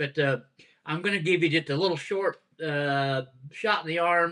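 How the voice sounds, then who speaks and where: Over a quiet background, a man with a Southern US accent speaks at a moderate pace in a bright, sharp tone. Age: 70s. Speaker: pastor. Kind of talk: casual chat. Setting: home dining room, live stream.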